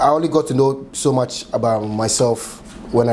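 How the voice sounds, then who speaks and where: A man with a Ghanaian accent speaks at a moderate pace over noticeable background noise. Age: 30s. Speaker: chef and restaurant owner. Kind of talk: oral history interview answer.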